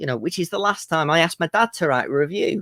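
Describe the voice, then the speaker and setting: A man with an English accent speaks at a fairly quick pace in a high pitch, with a dry, close sound and no echo. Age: 20s. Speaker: comedian. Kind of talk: stand-up.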